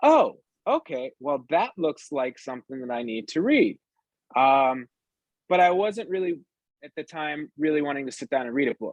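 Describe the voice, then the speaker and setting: An American accent with ordinary pitch variation and big swings in loudness, in a dry, close sound with no echo. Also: man, fairly high pitch for a man. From northern US. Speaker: entrepreneur. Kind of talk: interview chat. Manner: fast; hesitant fillers.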